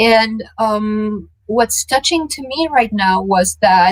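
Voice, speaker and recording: A woman speaks in a somewhat breathy voice. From Romania, Transylvania. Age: 30s. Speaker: tech journalist. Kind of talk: interview. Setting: live event talk.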